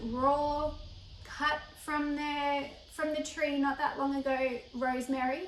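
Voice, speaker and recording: Speaking very slowly in an Australian accent, a woman has a high pitch, with audible room echo. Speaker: cooking educator. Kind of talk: tutorial. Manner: casual, chatty.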